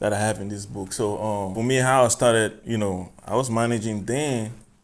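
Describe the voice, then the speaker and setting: A man with an African accent speaks at a moderate pace. His pitch is fairly low and his intonation fairly even. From Cameroon. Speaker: music artist. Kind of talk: podcast interview.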